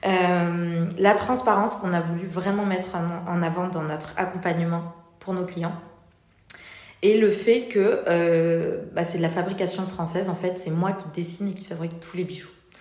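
A woman's medium-pitched, monotone voice with flat intonation at a fairly slow pace, with noticeable background noise and audible room echo. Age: 30s. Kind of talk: interview. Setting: showroom. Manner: hesitant, many fillers.

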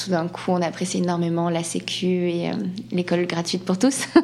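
Fairly low in pitch, a woman speaks at a fairly slow pace. Background noise is noticeable. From France, Landes (Atlantic coast). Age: 30s. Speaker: ballet dancer. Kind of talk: interview.

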